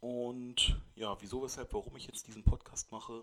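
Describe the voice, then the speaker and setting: Here a man talks at a moderate pace. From Brandenburg, Germany (Eberswalde). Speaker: podcaster. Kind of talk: solo monologue. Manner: halting, many fillers. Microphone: new microphone, poor recording quality.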